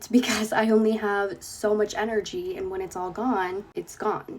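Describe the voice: At a moderate pace, a woman talks at a medium pitch with a slightly husky edge and fairly even intonation.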